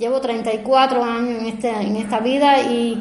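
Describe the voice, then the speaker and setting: A woman's high-pitched voice with a Cuban accent, in audible room echo. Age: 50s. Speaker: biological lab manager. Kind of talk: testimony. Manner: halting.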